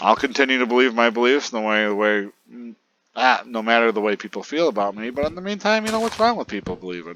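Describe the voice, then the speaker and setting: Talking at a very fast pace, a man with a medium pitch and a bright, sharp tone shows ordinary pitch variation and big swings in loudness. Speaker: gaming youtuber. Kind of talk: casual gameplay commentary.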